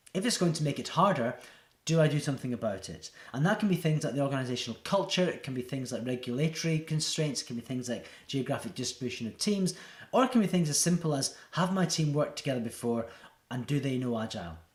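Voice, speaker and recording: Very fast and somewhat breathy, a man speaks at a fairly high pitch with lively intonation. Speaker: agile coach. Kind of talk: presentation talk to camera.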